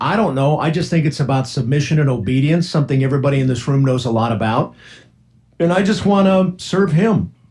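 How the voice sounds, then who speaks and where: A man speaks at a fairly high pitch with a somewhat breathy voice. His pace is fairly quick, his loudness very even, and his intonation lively. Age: 60s. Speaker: radio host. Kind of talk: casual chat. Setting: studio.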